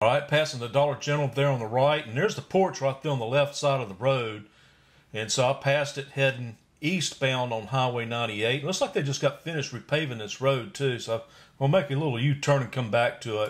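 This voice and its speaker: A man talks at a fairly quick pace. His voice is somewhat breathy. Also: ordinary pitch variation. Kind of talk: casual vlog chat. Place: car. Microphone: camera far.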